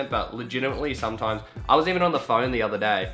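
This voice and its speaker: With music behind him, a man delivers his words very fast. His pitch varies in an ordinary way. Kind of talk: casual, chatty.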